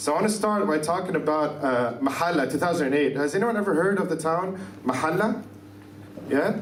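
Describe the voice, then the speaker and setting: Noticeable background noise and audible room echo fill the recording. The speech moves at a fairly quick pace with very even loudness. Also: man, fairly high pitch for a man. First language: Arabic. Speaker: activist. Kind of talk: lecture. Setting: conference stage with audience. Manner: fast.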